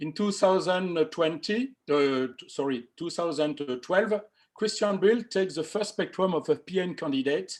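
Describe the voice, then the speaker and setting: Against a quiet background, a man with a French accent speaks at a high pitch. He goes at a fairly slow pace with ordinary pitch variation. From France. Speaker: amateur astronomer. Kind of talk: presentation. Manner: halting.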